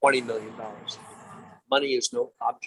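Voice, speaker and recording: A man with an American accent is recorded in a dry, close sound with no echo. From New York, Long Island. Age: 60s. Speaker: entrepreneur. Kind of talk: interview. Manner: halting.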